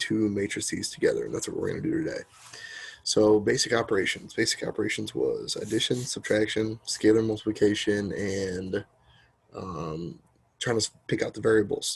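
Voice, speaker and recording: A soft-spoken man is talking. His pace is fairly quick. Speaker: math teacher. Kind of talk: lecture. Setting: home, sitting in a corner.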